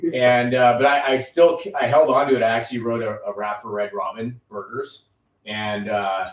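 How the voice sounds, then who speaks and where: A man speaks in a normal speaking voice at a moderate pace and medium pitch. His loudness swings a lot, while his pitch varies in an ordinary way. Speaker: podcast host. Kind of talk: casual interview chat.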